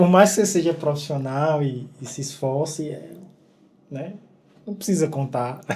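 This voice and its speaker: Speaking at a fairly slow pace with long, frequent pauses, a man with a fairly high pitch shows ordinary pitch variation and big swings in loudness. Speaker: podcast host, teacher. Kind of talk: casual podcast interview.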